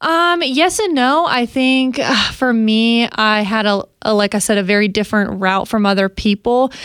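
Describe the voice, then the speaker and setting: Speaking in a normal speaking voice with an American accent, a woman keeps a moderate pace with hardly any pauses. Her fairly high pitch carries lively intonation at very even loudness. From Arizona. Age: 20s. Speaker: race car driver. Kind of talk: interview.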